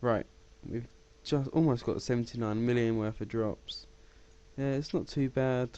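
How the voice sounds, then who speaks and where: A man speaks at a medium pitch with fairly even intonation. Long, frequent pauses break up his speech. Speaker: gaming YouTuber. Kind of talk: gameplay tutorial commentary. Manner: fast; casual, hesitant with fillers.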